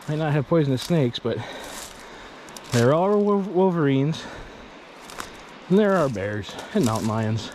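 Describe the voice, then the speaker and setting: A man with a fairly high pitch speaks at a moderate pace, his pitch swinging very widely, with long, frequent pauses. Noticeable background noise and audible room echo fill the recording. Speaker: outdoors vlogger. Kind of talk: vlog. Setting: outdoors. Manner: casual, thinking aloud; loud.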